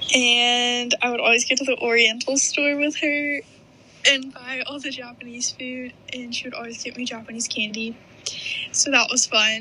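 Over noticeable background noise, a high-pitched woman with an American accent speaks at a moderate pace in a monotone, flat intonation, with big swings in loudness. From US South, Birmingham, Alabama. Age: young. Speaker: college student. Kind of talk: interview.

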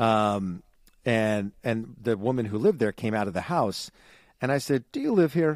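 Recorded with a dry, close sound and no echo, a man talks at a moderate pace in a medium pitch with ordinary pitch variation. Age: 30s. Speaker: podcast co-host. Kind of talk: casual chat. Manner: animated.

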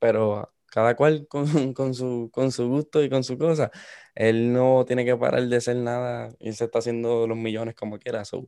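At a fairly slow pace, a man with medium pitch and a dark, mellow tone talks in a monotone, flat intonation, the sound dry and close with no echo. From Puerto Rico, coastal town. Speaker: student. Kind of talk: casual chat.

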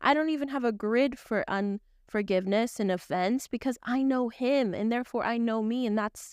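A woman in an ordinary speaking voice at a moderate pace, with a dry, close sound with no echo and a very clean recording with a silent background. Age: 20s. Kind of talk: devotional teaching monologue. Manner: casual, conversational with fillers.

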